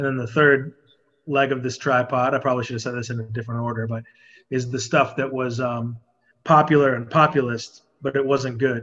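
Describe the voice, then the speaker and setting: A man at a medium pitch with monotone, flat intonation and a fairly quick pace. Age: 30s. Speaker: music writer. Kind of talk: casual chat.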